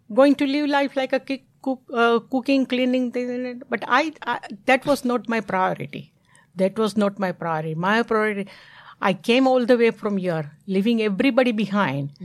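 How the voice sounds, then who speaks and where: A woman's fairly high voice with lively intonation and an Indian accent, on a very clean recording with a silent background. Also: moderate pace. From India (Bombay). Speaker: mother of host, immigrant. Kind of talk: life story interview.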